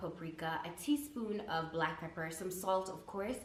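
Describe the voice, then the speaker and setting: A medium-pitched woman at a fairly slow pace, lively in intonation, with noticeable background noise and audible room echo. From Canada, East African parents. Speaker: food blogger and radio/TV presenter. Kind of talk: casual Q&A vlog. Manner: animated, slangy.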